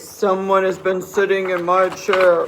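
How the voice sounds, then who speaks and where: A man uses a loud, put-on character voice pitched high. He speaks at a fairly slow pace with monotone, flat intonation. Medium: read story.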